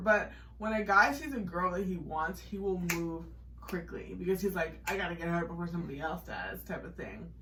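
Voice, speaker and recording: Audible room echo and noticeable background noise surround a woman talking at a fairly quick pace. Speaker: podcast co-host. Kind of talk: casual chat. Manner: fast; animated.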